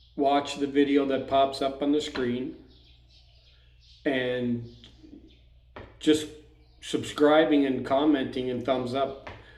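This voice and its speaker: Audible room echo surrounds a man whose pitch is fairly high and intonation monotone and flat. He talks at a very slow pace with long, frequent pauses. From Canada. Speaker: expat vlogger. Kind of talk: casual vlog talk. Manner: hesitant, with fillers.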